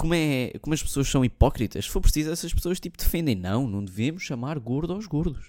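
On a very clean recording with a silent background, a man with a fairly high pitch and a dark, mellow tone talks at a fairly quick pace with very wide pitch swings and hardly any pauses. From Portugal. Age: 20s. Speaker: podcast host. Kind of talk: casual monologue.

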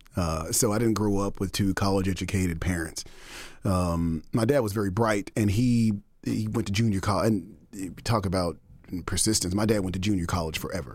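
An unremarkable speaking voice moves at a moderate pace with ordinary pitch variation in a very clean recording with a silent background. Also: man, fairly low pitch for a man. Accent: American. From Texas (Denton and Dallas). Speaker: music nonprofit executive director. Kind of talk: interview.

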